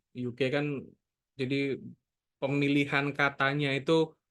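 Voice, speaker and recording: A man with a plain, everyday voice talks at a fairly slow pace with a fairly high pitch. The background is quiet. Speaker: NLP book reviewer. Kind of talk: book discussion talk. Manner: casual, conversational.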